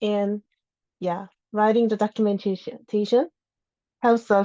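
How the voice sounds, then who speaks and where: A woman with a non-native accent speaks at a very slow pace in a dark, mellow tone. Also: dry, close sound with no echo. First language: not English. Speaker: open source contributor. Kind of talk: lightning talk. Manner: halting.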